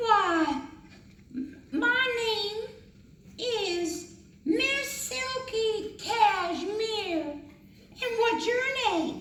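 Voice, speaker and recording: A woman puts on a squeaky, cartoonish character voice at an extremely high pitch with very wide pitch swings and a slight echo. She speaks at a very slow pace with long, frequent pauses. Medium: puppet show. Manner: coy, genteel.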